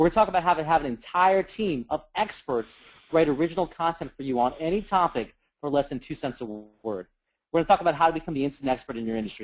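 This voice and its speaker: Lively intonation marks this man's fairly high-pitched voice as he rattles along at a very fast pace. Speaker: internet marketing trainer. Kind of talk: webinar presentation. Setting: conference call. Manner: animated.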